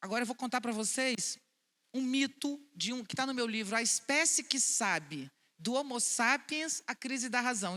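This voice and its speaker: A woman's high-pitched, bright, sharp voice, animated in tone, at a moderate pace, on a very clean recording with a silent background. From Brazil, Vitória, Espírito Santo. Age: 60s. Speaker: philosopher and speaker. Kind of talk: public talk to an audience. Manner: animated, conversational.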